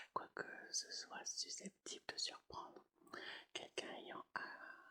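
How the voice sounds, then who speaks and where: A woman is speaking. She is whispering. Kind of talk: whispered ASMR audiobook reading. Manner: whispered.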